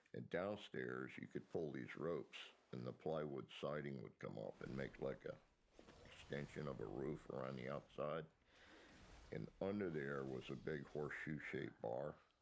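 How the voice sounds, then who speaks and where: The speaker has an American accent and vocal fry. The pace is moderate. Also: man, very deep, low pitch for a man, ordinary pitch variation. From Miami, Florida. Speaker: interviewee telling life story. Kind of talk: oral history interview. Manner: halting with many fillers.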